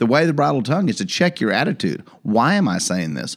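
A man's medium-pitched voice with vocal fry and very wide pitch swings, on a very clean recording with a silent background. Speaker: podcast co-host. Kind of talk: casual banter with Bible study. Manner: joking, playful.

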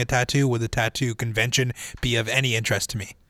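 A man's very fast, flat monotone with a bright, sharp tone and a Canadian accent. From Winnipeg, Canada. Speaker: student podcast co-host and board operator. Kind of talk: casual chat. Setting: studio.

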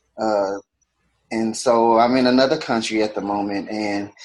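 With an American accent, a man talks in a normal speaking voice at a moderate pace with ordinary pitch variation. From Houston, Texas. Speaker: podcast co-host. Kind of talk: casual chat.

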